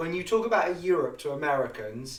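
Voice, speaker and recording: A man talks with an English accent. Noticeable background noise and audible room echo accompany his voice. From England. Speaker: history podcast host. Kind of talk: casual chat.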